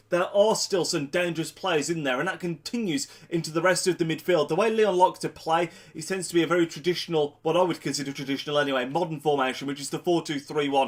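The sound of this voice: A man speaks fast with a nasal, fairly high voice. His intonation stays fairly even, and he pauses only a few times.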